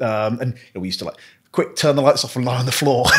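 Over a quiet background, a man rattles along at a very fast pace with ordinary pitch variation. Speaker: podcast host. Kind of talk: casual chat. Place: home room.

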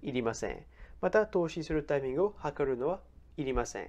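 Against a quiet background, a man with a fairly high, dark, mellow voice swings his pitch very widely. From France. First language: French (speaking Japanese). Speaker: personal finance YouTuber. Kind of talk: explainer video.

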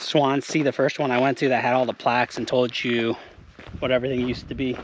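A man talks at a moderate pace in a dry sound with no echo and light background noise. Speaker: outdoor explorer vlogger. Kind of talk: casual vlog chat. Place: open country. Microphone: phone near.

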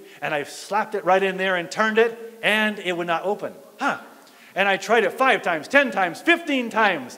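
A man speaks in a raised, projected, high-pitched voice at a moderate pace. His tone is animated and his intonation lively. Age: 50s. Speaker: pastor. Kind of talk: sermon. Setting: church fellowship hall. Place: hall.

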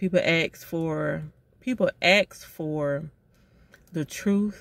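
A woman's fairly low-pitched voice, dry with no echo. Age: 40s. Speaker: vlogger. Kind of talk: casual monologue. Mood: earnest, reflective, apologetic. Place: car. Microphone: phone near.

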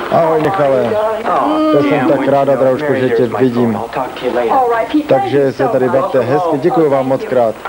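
Over noticeable background noise, a man with a fairly high pitch and ordinary pitch variation speaks at a fairly slow pace with very even loudness. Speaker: voice-over dubber. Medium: dub.

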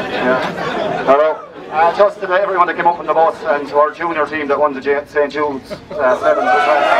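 A man with a Tipperary accent, fairly high pitch, fairly even intonation and a fairly quick pace, over crowd noise in the background. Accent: Irish, Tipperary. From Ireland. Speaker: hurling team captain. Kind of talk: acceptance speech. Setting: outdoors at sports event. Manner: casual, hesitant. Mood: jovial, slightly flustered. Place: street. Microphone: camera far.

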